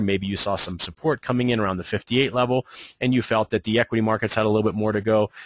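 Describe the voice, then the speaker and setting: The speaker has an American accent and a very fast pace. The sound is dry and close with no echo, over a quiet background. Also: man. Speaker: trading educator. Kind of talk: webinar presentation. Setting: online webinar.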